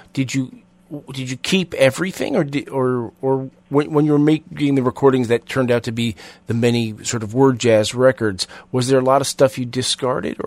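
A man talks at a moderate pace in an ordinary speaking voice of medium pitch. The sound is dry and close, with no echo. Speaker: radio host. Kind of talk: interview.

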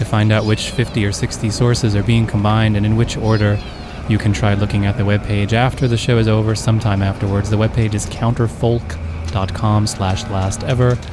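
Over music in the background, a man with a fairly low pitch speaks at a moderate pace with very even loudness. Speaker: radio host. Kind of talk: radio host patter, improvised collage show. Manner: deadpan, rambling, self-referential.

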